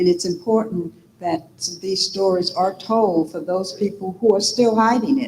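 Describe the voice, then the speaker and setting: The woman's voice has a somewhat breathy quality. Its pitch is medium. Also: ordinary pitch variation, moderate pace. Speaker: audience member. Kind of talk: audience comment. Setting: auditorium with audience.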